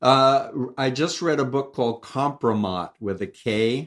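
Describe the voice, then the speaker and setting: A man with an American accent speaks in a plain, everyday voice at medium pitch and a fairly slow pace, with ordinary pitch variation. The recording is very clean, with a silent background. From New York. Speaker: cult expert and author. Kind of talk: interview.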